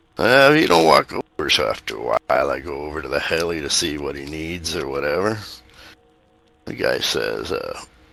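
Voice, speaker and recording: A man puts on a raspy character voice with a very deep, low pitch at a moderate pace. Music plays in the background. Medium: actual play. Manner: casual, colloquial.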